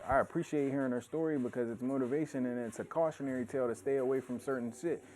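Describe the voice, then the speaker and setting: A man's very fast delivery at a medium pitch, with ordinary pitch variation. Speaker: stream show host. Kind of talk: casual chat. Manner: loud.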